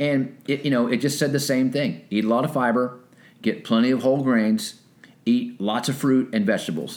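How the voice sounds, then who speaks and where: This man has a plain, everyday voice, with very even loudness and ordinary pitch variation. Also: medium pitch for a man, moderate pace. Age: 50s. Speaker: military veteran and personal trainer. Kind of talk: casual chat.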